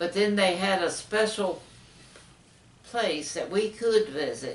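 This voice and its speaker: The speaker talks at a very slow pace with ordinary pitch variation over noticeable background noise. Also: woman, medium pitch for a woman. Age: 80s+. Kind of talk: interview answer.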